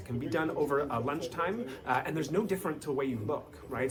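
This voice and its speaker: A man with a Canadian accent talks at a very fast pace with a fairly high pitch and lively intonation. Noticeable background noise and audible room echo fill the recording. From Canada. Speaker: company spokesperson. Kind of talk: interview. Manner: casual, conversational with frequent fillers.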